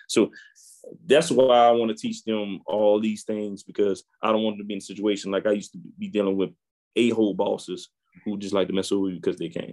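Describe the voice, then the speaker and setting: Speaking with a New Orleans accent, a man keeps a fairly quick pace. His pitch is fairly low and his intonation fairly even. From New Orleans, Louisiana. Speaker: IT entrepreneur and podcaster. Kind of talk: interview.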